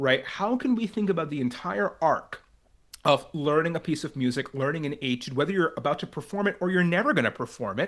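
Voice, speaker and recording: An ordinary speaking voice, this man talks at a fairly quick pace with a fairly high pitch. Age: 30s. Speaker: violinist. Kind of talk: interview conversation. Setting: video call.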